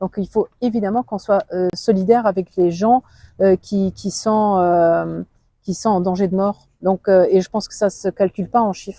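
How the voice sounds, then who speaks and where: In a Luxembourgish accent, the speaker talks at a fairly slow pace with a dark, mellow tone and monotone, flat intonation. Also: woman, medium pitch for a woman, dry, close sound with no echo. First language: Luxembourgish (speaking French). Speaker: politician. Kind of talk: interview. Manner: halting.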